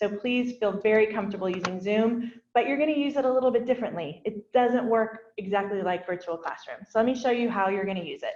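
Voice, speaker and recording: Her pitch is fairly high, with ordinary variation. The woman speaks very fast with hardly any pauses. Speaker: educational technology staff presenter. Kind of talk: workshop tutorial. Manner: casual, enthusiastic.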